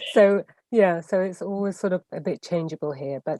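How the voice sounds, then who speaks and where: A woman at a medium pitch with an English accent, moderate in pace, in a dry, close sound with no echo. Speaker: business coach and consultant. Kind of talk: live video interview. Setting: livestream.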